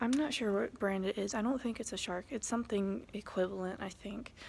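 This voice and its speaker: A woman's medium-pitched voice, somewhat breathy, shows ordinary pitch variation. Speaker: custodian and vlogger. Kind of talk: casual vlog narration.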